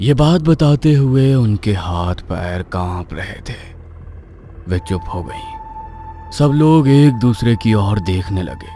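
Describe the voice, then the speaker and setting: Over clear background noise, a man does a cartoonish character voice. He talks at a fairly slow pace. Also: medium pitch for a man. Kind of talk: horror narration. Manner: suspenseful.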